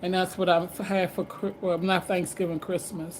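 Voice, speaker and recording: A somewhat breathy woman's voice of medium pitch, with an American accent, at a moderate pace. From Washington DC. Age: 60s. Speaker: livestreamer. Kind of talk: casual chat. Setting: livestream. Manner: halting.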